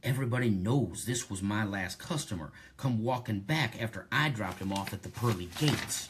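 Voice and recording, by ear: The speaker is reading aloud in a natural voice. The pitch variation is ordinary.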